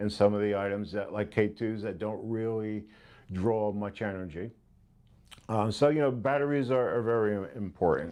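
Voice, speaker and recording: This is a man with a plain, everyday voice and medium pitch. He talks at a moderate pace with ordinary pitch variation. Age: 60s. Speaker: ghost hunting equipment seller. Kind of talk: interview talk. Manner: casual, filler-heavy.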